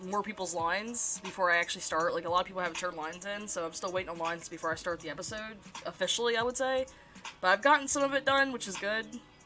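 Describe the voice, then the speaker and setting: A woman at medium pitch, talking very fast with lively intonation over music in the background. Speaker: streamer and animator. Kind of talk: casual live stream chat while drawing. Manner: halting, frequent self-corrections. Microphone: problematic mic, repositioned to avoid static.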